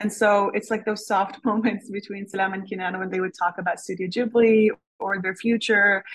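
A woman with a medium pitch sounds somewhat breathy and delivers her words in a monotone, flat intonation. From Canada. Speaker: novelist. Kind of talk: interview. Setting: lab.

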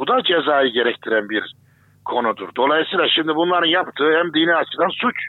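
At a fairly quick pace, a man with an unremarkable speaking voice talks in a fairly high pitch, his intonation lively and his loudness very even. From Turkey, Kayseri. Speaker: Islamic theologian. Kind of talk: interview.

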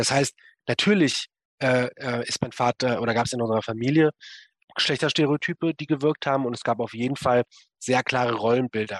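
A man's unremarkable speaking voice at a fairly quick pace, with ordinary pitch variation and a dry, close sound with no echo. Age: 20s. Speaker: writer and activist on masculinity. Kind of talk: interview.

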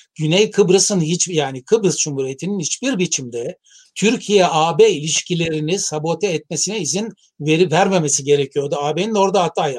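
Heard dry and close with no echo, a man speaks at high pitch and a moderate pace with ordinary pitch variation. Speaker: professor of international relations. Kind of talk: interview. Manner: halting, frequent fillers.

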